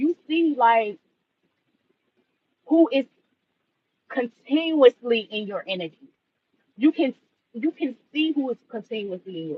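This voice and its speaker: Speaking at a fairly slow pace with an American accent, a man uses an extremely high pitch and lively intonation, with big swings in loudness and long, frequent pauses. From Washington DC. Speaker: livestreamer, spiritual reader. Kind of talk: casual livestream chat. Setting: live stream. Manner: animated.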